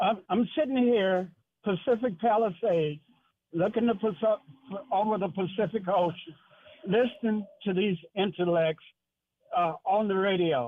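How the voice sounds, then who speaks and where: At a fairly slow pace with long, frequent pauses, the voice keeps a very even loudness and ordinary pitch variation. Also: man, high pitch for a man. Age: 80s+. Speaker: radio caller. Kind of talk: call-in radio discussion.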